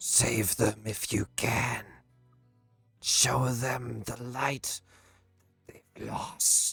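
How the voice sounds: A put-on character voice, raspy and hissing, sits at a low-to-middle pitch and moves at a very slow pace. Long, frequent pauses break it up, and faint music plays in the background.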